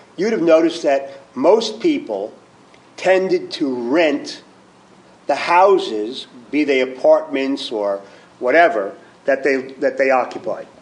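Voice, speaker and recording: A man's fairly high-pitched voice at a fairly slow pace, with long, frequent pauses and noticeable background noise. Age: 60s. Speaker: fund manager, former professor. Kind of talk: panel presentation. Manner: halting, many fillers.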